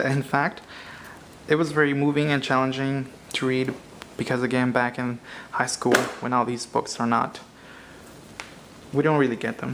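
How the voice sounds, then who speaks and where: At a moderate pace, the speech comes through with noticeable background noise. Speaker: vlogger. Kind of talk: casual talk to camera. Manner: halting, many fillers and restarts.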